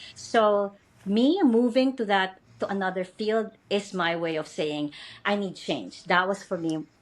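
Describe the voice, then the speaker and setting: Lively intonation runs through this clip. The woman speaking takes a fairly slow pace. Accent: Filipino. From Philippines. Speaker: educator and podcast host. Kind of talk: interview. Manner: hesitant with fillers.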